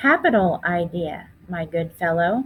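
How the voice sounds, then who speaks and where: A woman puts on a character voice, speaking at a fairly slow pace with a fairly low pitch. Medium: read story. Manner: cheerful, cheeky.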